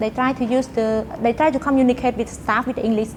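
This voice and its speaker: A woman with a high-pitched voice talks at a moderate pace amid noticeable background noise. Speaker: university student and company employee. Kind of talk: interview conversation. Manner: halting, with frequent fillers.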